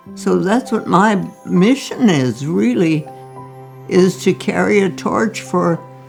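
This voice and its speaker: Over music in the background, a woman speaks at a very slow pace and a medium pitch. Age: 80s+. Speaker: doctor. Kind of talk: interview answer.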